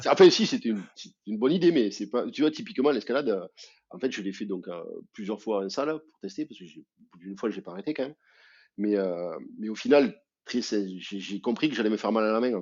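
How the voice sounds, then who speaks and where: This man talks in a southern French accent at a very fast pace. His medium-pitched voice carries lively intonation. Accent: southern French, sing-song. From southern France, Albi. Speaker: amputee athlete, association president. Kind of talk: podcast interview. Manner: hesitant, many fillers.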